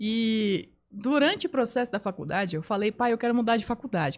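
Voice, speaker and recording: Fairly quick, fairly high-pitched speech from a woman with lively intonation, in a very clean recording with a silent background. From Belém, northern Brazil (born São Paulo state). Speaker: communication coach and photographer. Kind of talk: podcast interview.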